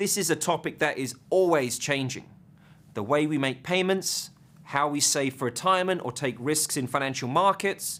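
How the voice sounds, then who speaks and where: Using an English accent, a man speaks at a fairly high pitch and a moderate pace, his tone bright and sharp, with ordinary pitch variation. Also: very clean recording, silent background. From southeast England. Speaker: finance professor. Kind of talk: lecture.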